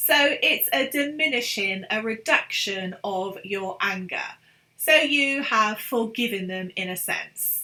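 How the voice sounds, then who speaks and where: Someone with a British accent speaks at a very slow pace with lively intonation. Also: woman, fairly high pitch for a woman. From London, England. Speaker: English teacher. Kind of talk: online English lesson.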